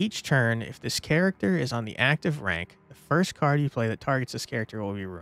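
The plain reading aloud carries lively intonation.

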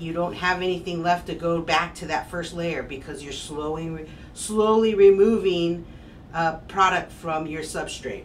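With an ordinary speaking voice, a woman talks fairly slowly at a fairly low pitch and fairly even intonation, over light background noise. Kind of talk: tutorial. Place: workshop. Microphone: camera far.

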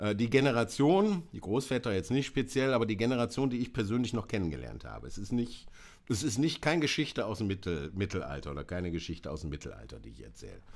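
A man rushes along at a very fast pace at a fairly low pitch, with vocal fry, very wide pitch swings and big swings in loudness. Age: 50s. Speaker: presenter. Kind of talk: live stream talk on photo history. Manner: hesitant, many fillers. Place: home room.

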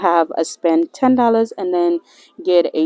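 Against a quiet background, a woman with a dark, mellow tone talks at a moderate pace in a dry sound with no echo. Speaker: couponing vlogger. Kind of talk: casual vlog chat. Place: shop. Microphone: phone near.

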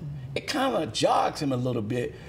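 There is light background noise. A man speaks at a moderate pace. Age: 60s. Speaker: minister. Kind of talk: interview. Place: studio. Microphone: lapel.

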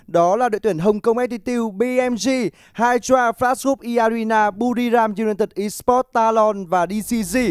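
A high-pitched man speaks fairly slowly over a quiet background, his loudness very even and his intonation fairly even. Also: dry sound with no echo. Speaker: esports commentator. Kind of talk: live commentary. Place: studio. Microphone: headset.

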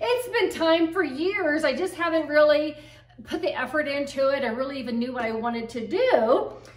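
A woman speaks at a high pitch and a moderate pace. The background is quiet, though room echo is audible. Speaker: home decor vlogger. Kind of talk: casual vlog chat. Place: home room. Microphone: camera far.

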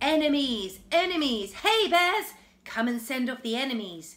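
A woman shouting in a put-on character voice, high-pitched with very wide pitch swings, her voice raised and projected at a moderate pace. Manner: loud, shouting, alarmed.

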